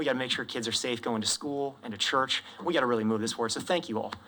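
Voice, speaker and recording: At a medium pitch with ordinary pitch variation, this man talks at a very fast pace through noticeable background noise. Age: 20s. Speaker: public commenter at hearing. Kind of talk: public testimony. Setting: legislative committee hearing room.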